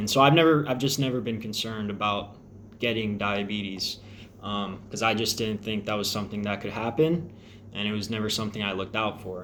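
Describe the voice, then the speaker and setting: Speaking at a fairly quick pace with an American accent, a man with a fairly low pitch and ordinary pitch variation is heard amid audible room echo. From Texas (Crosby, near Houston). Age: 20s. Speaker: air force service member vlogging about diabetes. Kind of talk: personal vlog. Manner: casual, with frequent fillers.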